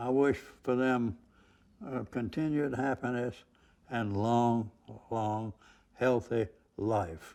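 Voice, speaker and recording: At a very slow pace with long, frequent pauses, a man with a dark, mellow tone and medium pitch speaks with ordinary pitch variation in a very clean recording with a silent background. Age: 80s+. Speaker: friend giving a tribute. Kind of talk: recorded tribute interview. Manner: halting, many fillers.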